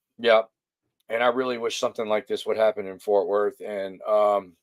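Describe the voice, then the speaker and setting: Mumbling at a moderate pace, a man speaks with fairly even intonation, recorded with a dry, close sound with no echo. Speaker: livestream interviewer. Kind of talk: casual livestream chat. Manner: hesitant, many fillers.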